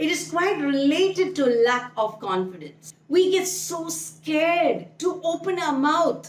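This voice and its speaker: Speaking at a fairly slow pace with a Keralan accent, a woman uses a high pitch with very wide pitch swings. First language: Malayalam. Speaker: English speaking coach. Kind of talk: online tutorial.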